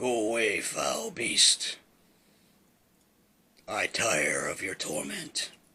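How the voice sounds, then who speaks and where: A man does a put-on character voice, gravelly and raspy. He speaks at a very slow pace with long, frequent pauses. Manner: weary, dismissive.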